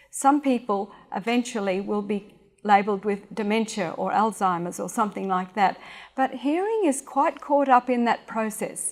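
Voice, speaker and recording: A woman's fairly high voice in an Australian accent at a moderate pace, with ordinary pitch variation, on a very clean recording with a silent background. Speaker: speech and hearing specialist. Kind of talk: public talk. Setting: stage with audience.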